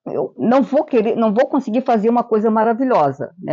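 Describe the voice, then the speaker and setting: At a moderate pace, a woman speaks in a fairly high pitch with vocal fry and a dark, mellow tone. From Florianópolis, Santa Catarina, southern Brazil. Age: 70s. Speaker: writer, chronicler. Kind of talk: interview; reading aloud.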